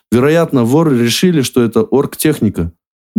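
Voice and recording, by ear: Someone is reading aloud in a natural voice. The background is quiet.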